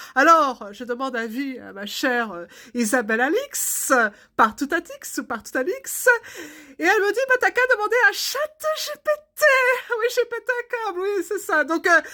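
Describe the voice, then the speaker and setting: The voice is raised and projected, with a bright, sharp tone, very wide pitch swings, big swings in loudness and a fairly slow pace. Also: woman, extremely high pitch for a woman. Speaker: art therapist and artist. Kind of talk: casual comic monologue. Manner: hesitant, many fillers.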